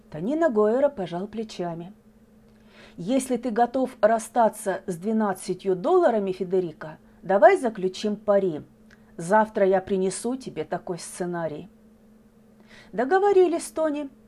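Long, frequent pauses mark the speech of a woman whose fairly high voice has a dark, mellow, gentle tone and lively intonation. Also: fairly slow pace. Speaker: podcast host. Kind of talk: literary audiobook reading, poems and short tales read aloud. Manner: measured, expressive, gentle storytelling pace.

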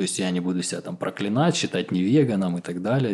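A man's voice with a dark, mellow tone. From southern Russia, Krasnodar Krai. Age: 30s. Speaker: co-living founder and musician. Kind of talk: casual interview.

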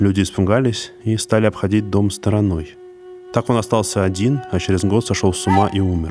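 Over music in the background, a man with fairly low pitch talks at a fairly quick pace with fairly even intonation. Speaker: podcast host. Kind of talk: horror storytelling narration. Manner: measured, suspenseful storyteller pacing; grim, ominous tone building dread.

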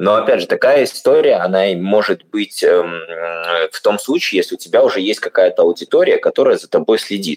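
A man's voice, moderately paced, comes through with a dry, close sound and no echo. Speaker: podcast host. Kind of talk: casual interview.

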